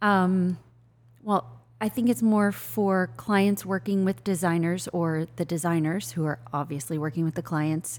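In an ordinary speaking voice, a woman talks at a fairly slow pace with lively intonation. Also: fairly low pitch for a woman. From US Midwest. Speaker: interior designer. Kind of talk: casual chat. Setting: showroom.

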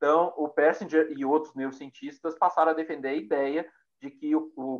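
This is an ordinary speaking voice from a man, pitched fairly high. He talks at a fairly quick pace. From Minas Gerais, Brazil (Pedro Leopoldo, near Belo Horizonte). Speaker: psychologist and university researcher. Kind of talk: casual chat.

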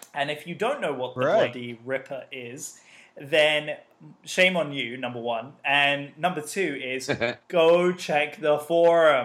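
Speaking in an English accent, a man talks at a very slow pace. His voice sits fairly high, with ordinary pitch variation. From British. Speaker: podcast panelist. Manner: enthusiastic, upbeat.

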